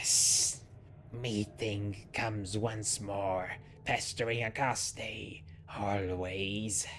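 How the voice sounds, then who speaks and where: A put-on character voice speaks at a low pitch and very slow pace. Background noise is clear. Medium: actual play. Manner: terse, cryptic phrasing.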